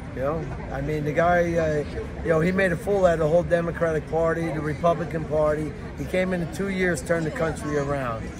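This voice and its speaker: A man with a New York accent and a fairly high pitch speaks at a fairly quick pace, with noticeable background noise and audible room echo. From New York City (Lower East Side, Manhattan). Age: 60s. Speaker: Trump supporter at a protest. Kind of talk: street interview. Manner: repetitive, filler-heavy.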